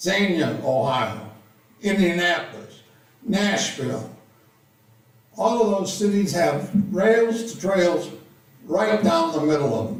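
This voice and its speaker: Amid audible room echo and noticeable background noise, a man with a high pitch speaks very slowly with very wide pitch swings and long, frequent pauses. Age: 80s+. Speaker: retired college teacher, public commenter. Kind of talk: public comment at meeting.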